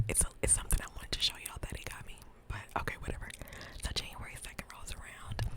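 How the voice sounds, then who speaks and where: Whispering at a very fast pace, a woman speaks over noticeable background noise. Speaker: ASMR creator. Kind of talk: whispered ASMR ramble, casual talk to camera. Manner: whispered; chatty, playful.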